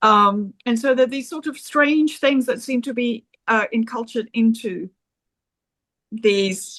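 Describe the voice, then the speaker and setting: A woman's high-pitched voice with ordinary pitch variation at a fairly slow pace. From South Africa. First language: an African language. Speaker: discussion participant. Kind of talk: panel discussion. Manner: halting.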